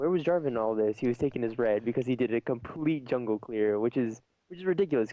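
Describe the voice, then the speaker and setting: The man's pitch varies in an ordinary way as he speaks very fast. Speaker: esports commentator. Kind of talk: live commentary. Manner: animated; stuttering.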